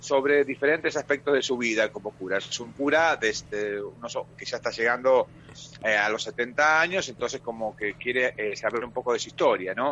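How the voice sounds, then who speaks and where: A man's normal speaking voice with lively intonation at a moderate pace. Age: 40s. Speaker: stage actor. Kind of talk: radio interview.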